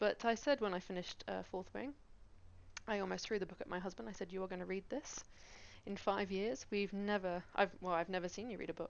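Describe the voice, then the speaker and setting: A woman with a Cornish accent, medium pitch, ordinary pitch variation, vocal fry and a fairly quick pace. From Cornwall, England. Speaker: game streamer. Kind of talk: casual chat. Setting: live stream. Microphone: gaming headset, poor audio.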